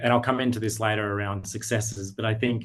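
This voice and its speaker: He speaks with an Australian accent. The voice belongs to a man. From Australia, Sydney. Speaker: digital media business owner. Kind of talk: interview. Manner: halting, many fillers.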